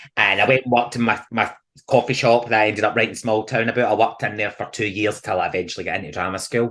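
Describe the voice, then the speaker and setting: A man talks at a very fast pace. His pitch sits in the middle range. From Scotland. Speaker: theatre actor and comedian. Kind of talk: podcast interview answer. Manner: chatty, animated storytelling.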